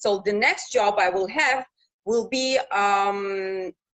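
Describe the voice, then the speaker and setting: A woman with a Russian accent, in dry, close sound with no echo. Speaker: news reporter. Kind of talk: interview. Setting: live video call.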